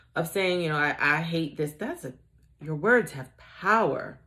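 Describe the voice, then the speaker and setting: Woman with an American accent, lively intonation and a fairly slow pace. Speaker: tarot/oracle reader. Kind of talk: collective oracle reading. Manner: casual, with frequent self-corrections.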